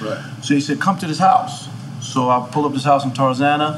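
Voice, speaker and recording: Fairly quick speech with a New York accent, over noticeable background noise. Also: man. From Queens, New York. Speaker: music manager. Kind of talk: casual chat.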